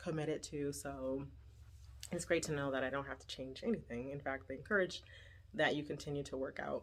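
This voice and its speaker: A woman with vocal fry speaks at a fairly quick pace on a very clean recording with a silent background. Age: 40s. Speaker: vlogger. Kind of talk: personal vlog update.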